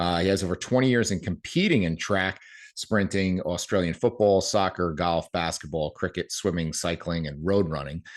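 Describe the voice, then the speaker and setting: Against a quiet background, a man speaks with a New Jersey accent at a moderate pace. His pitch is very deep and low, with ordinary pitch variation. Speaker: podcast host. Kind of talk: podcast interview.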